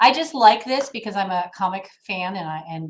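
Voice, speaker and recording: Lively intonation marks a woman's medium-pitched voice, heard with audible room echo. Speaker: HOA attorney presenting a webinar. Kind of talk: webinar lecture. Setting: online webinar with slides. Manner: fast.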